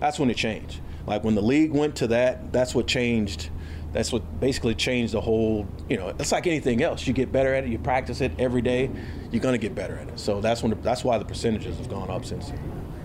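A man with an American accent talks very fast at a medium pitch, his intonation lively. Noticeable background noise and audible room echo fill the recording. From Houston, Texas. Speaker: football coach. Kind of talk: press conference Q&A. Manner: halting, many fillers and repeated words.

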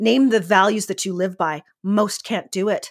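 A woman talks with a Canadian accent. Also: very clean recording, silent background. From Canada, northern Alberta. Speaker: image consultant and life coach. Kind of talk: casual interview chat. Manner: animated.

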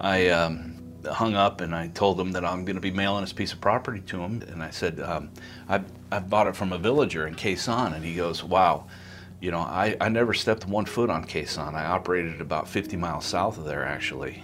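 With an American accent, a man speaks at a fairly quick pace in a very deep, low pitch with ordinary pitch variation. Music plays in the background. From US Midwest, Iowa. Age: 40s. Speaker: army veteran and anesthesia provider. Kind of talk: personal storytelling.

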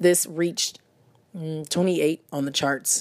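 A woman talks at a very slow pace with fairly even intonation. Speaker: music review podcaster. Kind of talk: solo podcast review.

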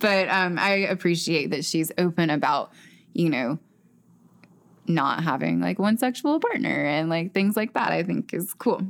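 A woman with a Southern US accent talks at a fairly low pitch, with vocal fry and lively intonation. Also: fairly slow pace. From US South (Chattanooga, Tennessee / Ringgold, Georgia). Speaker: podcast host. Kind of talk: casual interview chat. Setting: in person in the same room.

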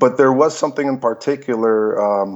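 A man with an American accent, a plain, everyday voice, medium pitch and moderate pace. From Belarus, raised in Los Angeles. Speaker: fight coordinator and filmmaker. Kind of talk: interview.

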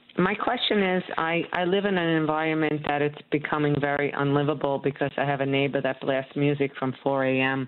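Over noticeable background noise, a woman with a very deep, low pitch speaks at a moderate pace, with ordinary pitch variation and very even loudness. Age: 50s. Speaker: caller. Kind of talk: casual chat. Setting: phone call. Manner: halting.

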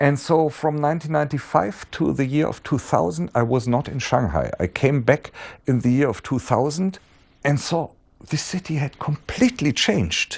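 Over a quiet background, a man with a German accent and a fairly high pitch speaks at a moderate pace with lively intonation. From Germany. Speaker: professor. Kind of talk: interview. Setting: his institute office. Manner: halting.

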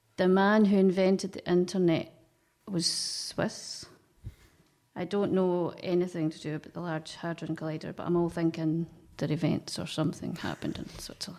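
Speaking at a moderate pace in a Scottish accent, a woman delivers her words in a monotone, flat intonation, her fairly low voice dark and mellow in tone. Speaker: quiz contestant, team captain. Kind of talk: casual banter in a quiz game. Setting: radio studio.

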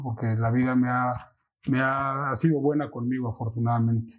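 A man talks at a fairly quick pace in a normal speaking voice. His pitch sits in the medium range. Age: 40s. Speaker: financial advisor. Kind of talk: casual interview.

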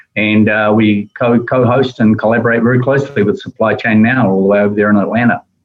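In a New Zealand accent, the speaker goes at a very fast pace with monotone, flat intonation and very even loudness. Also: man, medium pitch for a man. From New Zealand, Wellington. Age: 60s. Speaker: logistics executive. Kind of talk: interview conversation.

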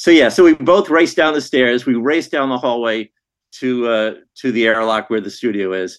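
In a normal speaking voice with lively intonation, the speaker goes at a moderate pace over a quiet background. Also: man, medium pitch for a man. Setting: remote call.

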